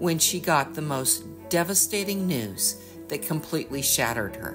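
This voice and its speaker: Over music in the background, a woman talks at a fairly slow pace. Her very deep, low pitch makes very wide swings. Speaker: author and interviewer. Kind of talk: interview introduction.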